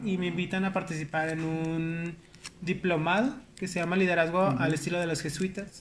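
Audible room echo surrounds a man who talks fairly quickly. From Mexico, León (Guanajuato). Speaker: director of a housing nonprofit. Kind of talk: casual interview.

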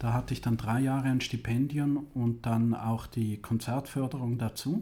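Speaking at a fairly slow pace, a man with a medium pitch has a dark, mellow, somewhat breathy tone and fairly even intonation. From Switzerland, Zurich area. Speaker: music university president. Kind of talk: interview.

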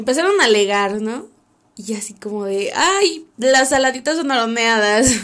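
Speaking at a fairly slow pace, a woman with a Mexican accent uses lively intonation and a fairly high pitch. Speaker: podcast host. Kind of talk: casual monologue.

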